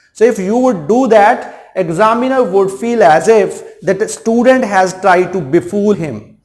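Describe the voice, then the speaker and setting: Speaking with a Punjabi accent, a man talks at a fairly slow pace with hardly any pauses, in a high pitch with ordinary pitch variation. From India, Punjab. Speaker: English teacher. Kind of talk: lecture. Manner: halting.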